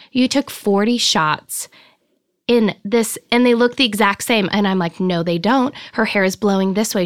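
With an American accent and an unremarkable speaking voice, a woman talks at a moderate pace and medium pitch, her loudness very even and her pitch variation ordinary, in a dry, close recording with no echo. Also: very clean recording, silent background. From Nevada, Reno area. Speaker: photographer. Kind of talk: interview.

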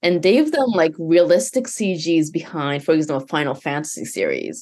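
A woman with a Japanese accent speaks in a very deep, low voice at a moderate pace. Her intonation is lively. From Japan and Canada. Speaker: virtual humans producer. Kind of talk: casual interview chat.

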